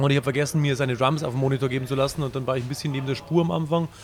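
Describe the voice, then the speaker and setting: Against noticeable background noise, a man talks very fast at a fairly high pitch. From Bavaria. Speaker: punk band singer and guitarist. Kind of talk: casual interview. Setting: live stream.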